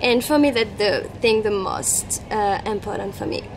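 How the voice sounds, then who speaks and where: A woman with a French accent speaks at a fairly high pitch, her pitch varying in an ordinary way. Noticeable background noise runs behind her. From France. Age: 20s. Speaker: travel vlogger. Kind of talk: casual interview. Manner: halting.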